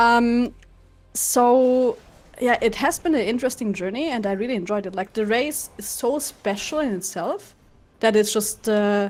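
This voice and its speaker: Her German accent clear, a woman speaks at a fairly slow pace with ordinary pitch variation. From Germany. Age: 30s. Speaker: streamer and esports commentator. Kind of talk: casual interview during gameplay.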